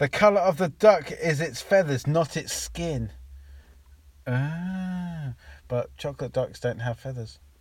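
A man's somewhat breathy, fairly high voice in an English accent, fairly slow with lively intonation, on a very clean recording with a silent background. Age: 30s. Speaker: podcast co-host. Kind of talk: casual chat.

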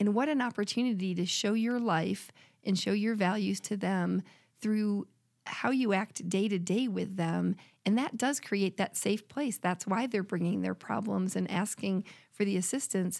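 A woman with an American accent speaks in an unremarkable speaking voice at a medium pitch, a moderate pace and ordinary pitch variation. Her loudness is very even, and the recording is very clean with a silent background. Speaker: podcast co-host. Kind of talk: casual interview conversation, scripture reading at end.

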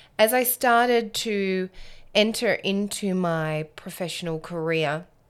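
Over a very clean recording with a silent background, a woman talks at a very slow pace. She has an Australian accent, a medium pitch and ordinary pitch variation. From Australia, Alice Springs. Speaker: podcast host. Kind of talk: solo monologue.

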